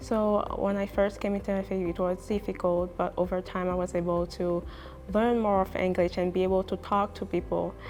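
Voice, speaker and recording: A woman's medium-pitched voice at a fairly quick pace, monotone and flat, with music in the background. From Haiti. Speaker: university student. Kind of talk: interview testimonial. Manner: hesitant, with fillers and repetitions.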